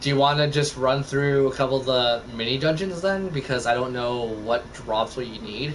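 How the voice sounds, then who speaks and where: A man's medium-pitched voice with a Canadian accent, hardly any pauses, and noticeable background noise. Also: ordinary pitch variation, moderate pace. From Canada. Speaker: gaming streamer. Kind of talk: casual chat.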